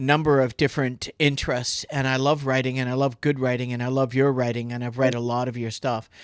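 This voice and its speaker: A man with a Canadian accent and a plain, everyday voice talks at a medium pitch and a fairly quick pace in a very clean recording with a silent background. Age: 60s. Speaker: podcast host, retired basketball player and realtor. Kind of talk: casual podcast chat.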